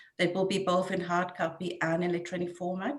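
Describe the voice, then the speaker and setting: A woman talks with a fairly low pitch in a South African accent. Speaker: neonatal nurse coordinator. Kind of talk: webinar presentation.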